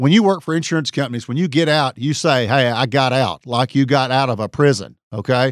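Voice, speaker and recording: Fairly quick speech in an East Texas accent, with hardly any pauses and ordinary pitch variation. The recording is very clean and dry, close with no echo, over a silent background. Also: man, medium pitch for a man. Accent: East Texas Southern US. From East Texas (Tyler). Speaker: personal injury trial lawyer. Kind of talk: solo podcast monologue. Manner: hesitant, frequent fillers.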